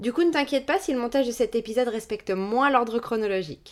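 In a very clean recording with a silent background, a woman with a plain, everyday voice talks at a fairly quick pace, her fairly high pitch carrying lively intonation. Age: 30s. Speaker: beautician and podcast host. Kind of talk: scripted narration; casual chat.

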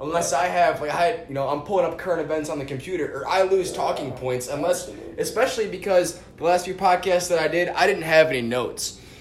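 Speaking very fast in a high voice with an American accent, a man is heard through audible room echo and noticeable background noise. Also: ordinary pitch variation. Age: 20s. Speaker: podcast host. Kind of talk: casual chat.

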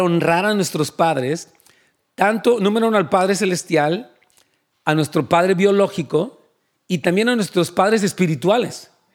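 A man with a high pitch, ordinary pitch variation and a fairly slow pace. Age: 60s. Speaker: pastor. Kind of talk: sermon.

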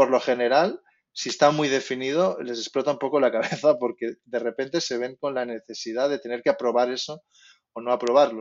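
A man talks at a fairly quick pace with fairly even intonation. His is an unremarkable speaking voice. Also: medium pitch for a man. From Spain. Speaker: concept artist. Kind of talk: interview.

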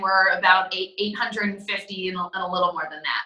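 With an American accent, a woman is talking. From western New York, US. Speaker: real estate team leader and business owner. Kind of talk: interview answers. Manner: fast talker.

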